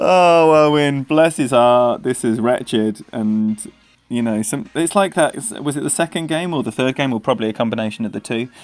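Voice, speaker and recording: Over music in the background, a man with an English accent speaks at a medium pitch and a moderate pace with lively intonation. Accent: proper English. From England. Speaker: game streamer. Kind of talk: live gaming stream commentary. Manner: animated.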